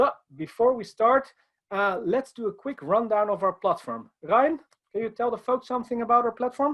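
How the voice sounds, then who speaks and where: A man with a Dutch accent speaks at an extremely high pitch. His pace is moderate, with ordinary pitch variation. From Netherlands. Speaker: IT consultant. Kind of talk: conference presentation.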